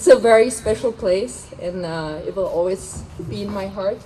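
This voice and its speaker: With a German accent, a woman speaks at a fairly slow pace and medium pitch, her pitch varying in an ordinary way. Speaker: exchange program participant. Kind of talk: speech at public event.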